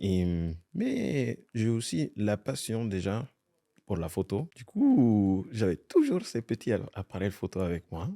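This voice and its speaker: A man with an Italian accent speaks at a very slow pace, his fairly low pitch carrying lively intonation and a dark, mellow tone. The sound is dry and close with no echo, on a very clean recording with a silent background. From Italy. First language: Italian (speaking French). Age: young. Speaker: fashion photographer. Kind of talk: casual interview. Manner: hesitant.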